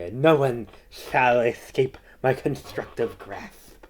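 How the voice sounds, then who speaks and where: A put-on character voice at a low-to-middle pitch. The pace is fairly slow. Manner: theatrical, menacing.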